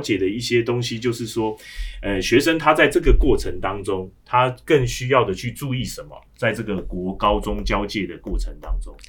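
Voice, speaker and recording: A man talks at a moderate pace and medium pitch, with ordinary pitch variation and hardly any pauses. His loudness swings widely, and music plays in the background. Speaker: education director. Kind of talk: casual chat.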